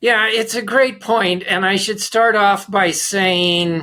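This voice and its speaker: The voice is raised and projected, with a bright, sharp tone. It moves at a very slow pace with ordinary pitch variation. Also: man. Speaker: management consultant and author. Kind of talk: interview conversation.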